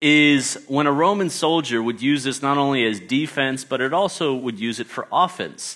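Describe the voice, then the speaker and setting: This man talks with an American accent at a moderate pace. His voice is fairly high and has a bright, sharp tone. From Australia. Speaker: guest preacher, teacher. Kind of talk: sermon. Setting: church service with congregation. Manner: halting.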